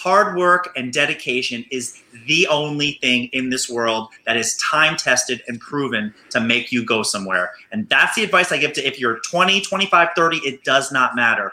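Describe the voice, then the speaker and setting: Hardly pausing, a man with a fairly high pitch speaks in an energetic tone with lively intonation over noticeable background noise. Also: moderate pace. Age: 30s. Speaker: physical therapist and podcaster. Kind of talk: casual interview. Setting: video call from his clinic.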